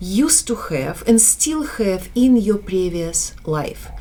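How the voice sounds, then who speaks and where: A woman with a Slavic accent speaks at a very slow pace, with audible room echo around her. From Slavic country, Eastern Europe. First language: Slavic language. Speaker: business educator. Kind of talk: online course lecture. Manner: halting.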